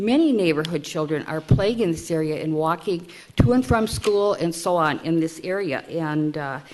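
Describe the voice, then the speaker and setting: A woman with an unremarkable speaking voice, fairly low pitch, ordinary pitch variation and a moderate pace. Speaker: resident speaking at public hearing. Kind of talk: public testimony. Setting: city council meeting.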